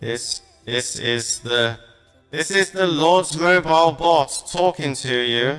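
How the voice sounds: A man uses a robotic, put-on character voice at a fairly high pitch. He speaks at a fairly slow pace over faint music in the background.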